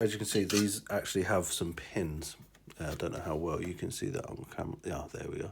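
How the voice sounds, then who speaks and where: A man speaks with a British accent, his pitch very deep and low. His voice is somewhat breathy. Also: ordinary pitch variation, fairly quick pace. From UK. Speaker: hobbyist electronics repairer. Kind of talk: tutorial. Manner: casual, hesitant with fillers.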